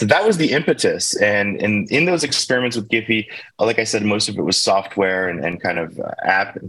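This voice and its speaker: Speaking with an American accent, a man uses a fairly low pitch and lively intonation at a fairly quick pace. Noticeable background noise is present. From US, Baltimore, Maryland. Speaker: tech company founder. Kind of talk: interview.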